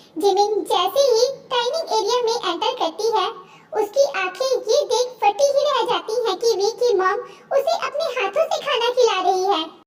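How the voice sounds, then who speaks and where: A woman uses a squeaky, put-on character voice at an extremely high pitch. Her pace is moderate. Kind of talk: dramatic romance storytelling. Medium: read story. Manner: expressive, conversational.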